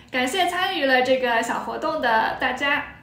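Against noticeable background noise, a woman speaks at a high pitch. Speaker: Chinese language teacher. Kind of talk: casual talk to camera. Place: home room. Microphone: phone near.

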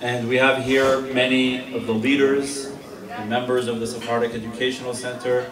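Clear music plays in the background. A man speaks at a moderate pace in a monotone, flat intonation. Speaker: guest. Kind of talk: ceremonial speech. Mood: warm, celebratory. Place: hall. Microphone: camera far.

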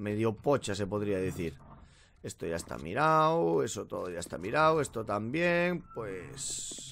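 Over light background noise, a man's fairly low voice moves at a fairly slow pace with very wide pitch swings. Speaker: gaming youtuber. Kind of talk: let's play commentary. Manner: casual, filler-heavy. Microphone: current mic, new Blue Yeti coming.

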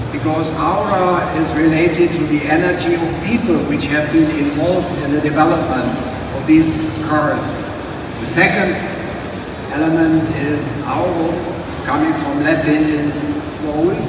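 Strong room echo and noticeable background noise surround a man's speech. He speaks at a fairly slow pace with long, frequent pauses. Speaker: presenter. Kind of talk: press presentation speech. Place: hall.

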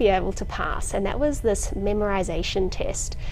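A woman at a moderate pace, with light background noise behind her. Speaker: video host. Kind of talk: casual storytelling chat. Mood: light, amused. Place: hall. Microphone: lapel.

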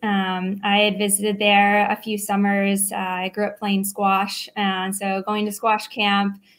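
A woman speaks at a fairly slow pace. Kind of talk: interview answer. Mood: friendly, smiling. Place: home room.

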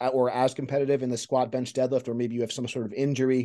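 Over a quiet background, a man speaks very fast in a monotone, flat intonation. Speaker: strength coach podcast host. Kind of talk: interview question and commentary. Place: home room. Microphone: video call.

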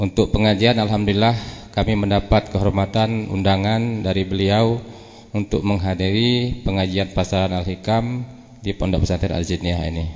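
At a moderate pace, a man with a fairly low pitch talks in an ordinary speaking voice with fairly even intonation. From Jambi, Sumatra. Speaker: Islamic preacher. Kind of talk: formal speech. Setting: religious gathering with audience.

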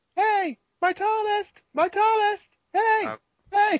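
A put-on character voice, extremely high in pitch and squeaky, carries the lines. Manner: eager, excited. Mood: playful, joking.

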